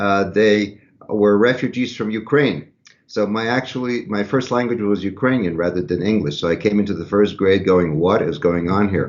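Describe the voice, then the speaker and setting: A man talks at a moderate pace with an American accent, in an unremarkable speaking voice. His pitch is fairly low, with ordinary pitch variation. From US Northeast, Philadelphia. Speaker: violinist and violin professor. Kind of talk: casual interview chat.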